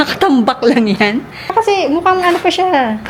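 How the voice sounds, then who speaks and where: Over noticeable background noise, a soft-spoken woman talks at a fairly quick pace. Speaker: vlogger. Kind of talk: vlog.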